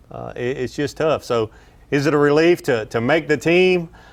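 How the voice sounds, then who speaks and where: Speaking at a moderate pace, a man with a slight Southern US accent has a fairly high pitch and ordinary pitch variation. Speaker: pro angler and fishing analyst. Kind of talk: live tournament commentary.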